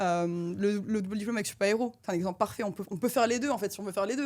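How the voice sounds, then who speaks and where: A woman at a medium pitch talks at a very fast pace with ordinary pitch variation. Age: 20s. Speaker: defense and space consultant. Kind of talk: mock job interview. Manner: animated.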